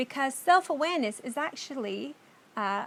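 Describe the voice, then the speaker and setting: A woman speaks at a moderate pace. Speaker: course teacher. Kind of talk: lecture.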